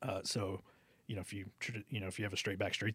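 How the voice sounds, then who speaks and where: Speaking at a very fast pace with an American accent, a man's somewhat breathy voice comes through on a very clean recording with a silent background. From Texas, Alice near Corpus Christi. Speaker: golf shop manager and club fitter. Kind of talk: interview. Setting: studio.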